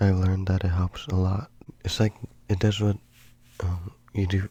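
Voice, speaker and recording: Soft-spoken and somewhat breathy, a man with a very deep, low pitch and a dark, mellow tone talks at a moderate pace with fairly even intonation. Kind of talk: soft-spoken ASMR.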